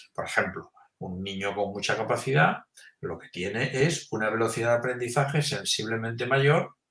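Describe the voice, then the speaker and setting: Here is a man with a plain, everyday voice. He speaks at medium pitch with lively intonation. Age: 60s. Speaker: emeritus professor of education research. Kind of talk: interview.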